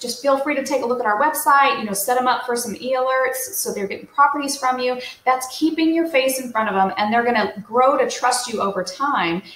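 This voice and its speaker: High-pitched female speech with audible room echo. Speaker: real estate coach. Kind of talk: tutorial. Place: home room. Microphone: webcam.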